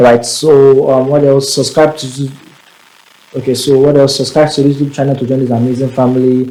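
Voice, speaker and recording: Noticeable background noise sits under this recording. A man speaks at a fairly quick pace in a flat, monotone way. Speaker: tech tutorial creator. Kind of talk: tutorial. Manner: fast; casual.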